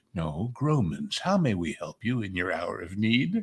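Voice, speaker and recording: A man puts on a character voice at medium pitch. His pitch swings very widely. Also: moderate pace. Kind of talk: formal, polite. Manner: solemn, formal.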